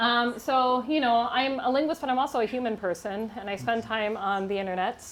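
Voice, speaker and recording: A normal speaking voice from a woman with an American accent, fairly high in pitch, at a moderate pace with ordinary pitch variation. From United States. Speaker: linguistics professor. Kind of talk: humorous science talk to a live audience.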